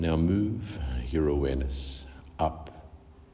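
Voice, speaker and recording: Noticeable background noise sits behind a man whose very deep, low voice has a soothing, gentle tone. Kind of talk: guided meditation. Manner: slow, soothing and unhurried, with long pauses between short gentle cues; calm, soft-spoken and hypnotic, repeating phrases like 'deeper and deeper'.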